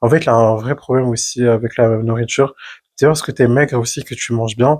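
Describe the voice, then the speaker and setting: A somewhat breathy man's voice at a fairly quick pace, with fairly even intonation. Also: medium pitch for a man. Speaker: podcast co-host. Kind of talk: casual chat. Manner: fast.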